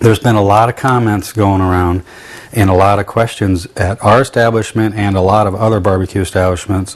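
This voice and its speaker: A man with fairly low pitch speaks at a fairly quick pace in a monotone, flat intonation. Noticeable background noise runs under his voice. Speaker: cooking show host and barbecue restaurant owner. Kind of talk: cooking demonstration.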